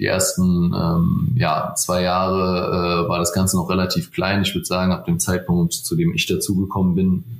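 A man speaks with a very deep, low pitch and fairly even intonation. Noticeable background noise runs underneath. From Germany, Frankfurt area. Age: 20s. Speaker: law clerk and startup legal advisor. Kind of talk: casual interview.

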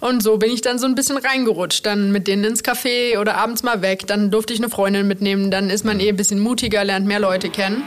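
A woman talks at a very fast pace with hardly any pauses, fairly even intonation and very even loudness, over noticeable background noise. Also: medium pitch for a woman. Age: 30s. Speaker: chef, restaurant owner. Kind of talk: interview.

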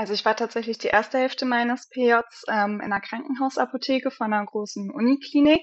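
With hardly any pauses, a woman speaks at a fairly quick pace in a high voice. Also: ordinary pitch variation. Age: 20s. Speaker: pharmacist. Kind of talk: casual chat.

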